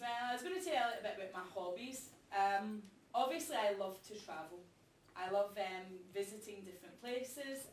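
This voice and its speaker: With a Glasgow accent, a woman talks at a moderate pace and medium pitch, her intonation lively, with audible room echo around her. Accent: Scottish (Glasgow area). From Scotland, outside Glasgow. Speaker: teacher. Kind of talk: classroom presentation. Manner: hesitant, frequent ums.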